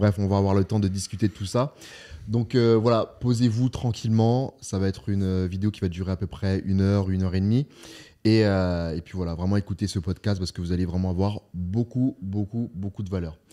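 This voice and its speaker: Here a man speaks at a fairly quick pace with fairly even intonation. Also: fairly low pitch for a man, very clean recording, silent background. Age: 30s. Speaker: podcast host, entrepreneur. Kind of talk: casual podcast interview. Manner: hesitant, many fillers.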